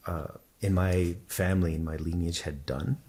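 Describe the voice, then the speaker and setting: A man with a Spanish accent speaks in a very deep, low pitch with a dark, mellow, somewhat breathy tone and fairly even intonation, in a very clean recording with a silent background. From Texas, El Paso. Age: 40s. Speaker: spiritual teacher. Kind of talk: interview testimony. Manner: repeats words, fillers.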